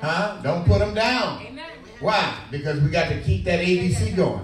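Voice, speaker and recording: Amid noticeable background noise and audible room echo, a man speaks high for a man with lively intonation. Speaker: pastor delivering a sermon to a congregation. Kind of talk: church sermon, preaching with call and response. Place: church. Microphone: handheld.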